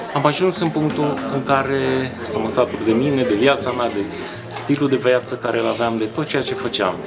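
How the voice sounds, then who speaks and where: The man keeps a middle pitch and mostly level intonation at an average tempo, with noticeable noise around him. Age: 40s. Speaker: former addict sharing his story. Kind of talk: testimony.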